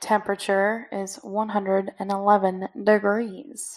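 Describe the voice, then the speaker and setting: This woman's voice sits at a medium pitch. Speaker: podcast co-host. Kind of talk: casual chat. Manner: playful, joking.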